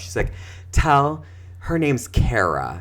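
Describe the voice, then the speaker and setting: A man talks in an American accent. Audible room echo surrounds his voice. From US Midwest. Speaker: social worker and therapist, podcast co-host. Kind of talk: casual chat. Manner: animated.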